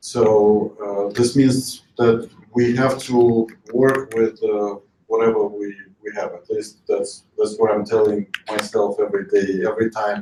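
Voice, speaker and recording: Speaking with a Russian accent, a man keeps a medium pitch and a monotone, flat intonation at a fairly slow pace. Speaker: investor. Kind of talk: panel discussion. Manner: halting.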